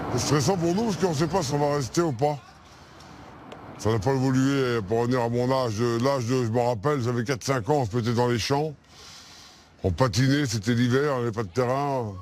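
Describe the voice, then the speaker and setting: Moderate pace with long, frequent pauses, ordinary pitch variation and very even loudness. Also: man, medium pitch for a man. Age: 60s. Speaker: Roma traveller interviewed in documentary. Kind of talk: documentary interview.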